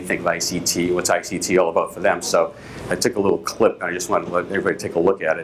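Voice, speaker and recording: A man talks at a very fast pace with a Boston accent. Noticeable background noise is present. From Boston, Massachusetts. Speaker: company executive. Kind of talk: conference keynote. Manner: hesitant, many fillers.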